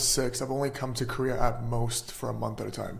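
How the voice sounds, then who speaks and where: With an American accent, a man speaks at a moderate pace, and the room's echo can be heard. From California, US. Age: 20s. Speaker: board game company co-founder. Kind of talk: casual chat.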